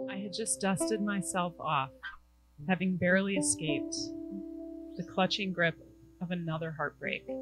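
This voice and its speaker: A woman with a fairly low voice speaks at a moderate pace with lively intonation and long, frequent pauses, music playing in the background. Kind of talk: spoken word poetry.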